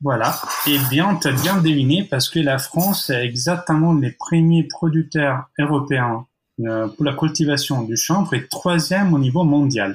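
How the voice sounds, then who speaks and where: A man speaks with an Italian accent at a fairly slow pace, his voice a bit breathy. His pitch sits fairly high and moves in an ordinary way. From Italy. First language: Italian (speaking French). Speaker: architect. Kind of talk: podcast interview. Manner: hesitant, many fillers.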